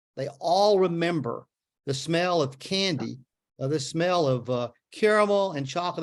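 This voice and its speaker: A high-voiced man with a Memphis accent, lively intonation and a moderate pace. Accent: Southern US (Memphis). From US South. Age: 70s. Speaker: author. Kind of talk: book talk Q&A. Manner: halting, many fillers and repeats.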